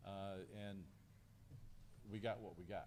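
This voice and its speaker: In a Lowcountry South Carolina accent, a man talks with a fairly low pitch. The room echo is audible. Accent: Southern US (Lowcountry South Carolina). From US South, Beaufort County, South Carolina. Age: 60s. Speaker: county sheriff. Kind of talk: press conference Q&A. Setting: press conference.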